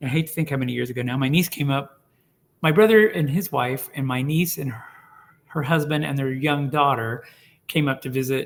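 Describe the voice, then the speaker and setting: A man with an American accent and an ordinary speaking voice talks at a fairly quick pace and a fairly high pitch, with ordinary pitch variation. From Oklahoma (Tulsa). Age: 60s. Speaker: oral history interviewee. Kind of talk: casual interview conversation. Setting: video call.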